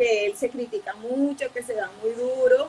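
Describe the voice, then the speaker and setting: Noticeable background noise surrounds a woman whose voice sits high in pitch. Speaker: psychologist. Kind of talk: interview. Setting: live stream.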